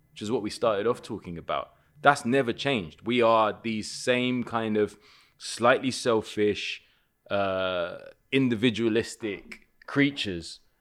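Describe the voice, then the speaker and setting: In a London accent, a man talks at a fairly slow pace with ordinary pitch variation on a very clean recording with a silent background. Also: medium pitch for a man. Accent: London English, multicultural. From West London (Kilburn/Willesden). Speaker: comedian and actor. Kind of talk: casual chat.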